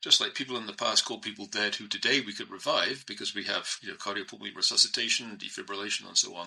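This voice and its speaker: A man talks at a very fast pace with hardly any pauses and big swings in loudness. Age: 60s. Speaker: philosopher and cryonics advocate. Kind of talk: interview.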